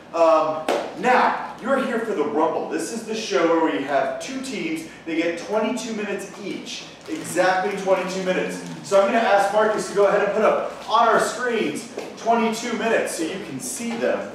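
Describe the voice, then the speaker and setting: A man amid noticeable background noise and strong room echo. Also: moderate pace. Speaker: show host. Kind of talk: comedy show hosting to a live audience. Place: stage.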